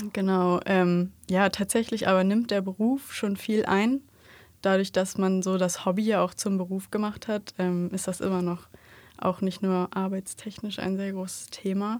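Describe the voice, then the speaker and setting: Recorded very cleanly against a silent background, a woman speaks at a medium pitch in a monotone, flat intonation. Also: fairly slow pace. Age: 20s. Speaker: podcast co-host, wedding photographer. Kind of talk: casual chat. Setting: studio.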